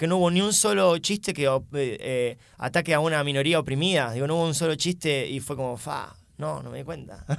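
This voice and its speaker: A man's fairly high-pitched, normal speaking voice with lively intonation at a moderate pace, on a very clean recording with a silent background. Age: 20s. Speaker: stand-up comedian and teacher. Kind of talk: casual chat.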